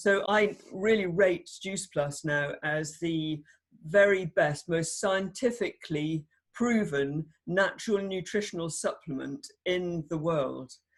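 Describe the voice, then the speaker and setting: Speaking in a British accent, a woman uses a fairly low pitch and a very slow pace. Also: ordinary pitch variation. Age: 60s. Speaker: doctor. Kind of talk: testimony. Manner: animated.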